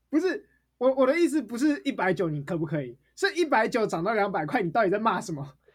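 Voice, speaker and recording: An animated tone in a Taiwanese accent, delivered at a very fast pace. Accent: Taiwanese Mandarin. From Taipei, Taiwan. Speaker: podcast co-host. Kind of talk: casual chat.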